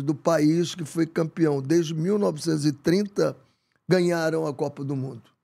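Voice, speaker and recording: A man with a fairly high pitch and a dark, mellow tone speaks at a very slow pace. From Brazil, Rio de Janeiro. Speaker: football coach. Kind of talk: interview conversation. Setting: studio. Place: studio. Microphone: studio mic.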